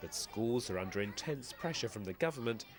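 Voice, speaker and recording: A man with a plain, everyday voice of medium pitch talks with lively intonation. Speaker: TV news correspondent. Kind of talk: TV news report narration.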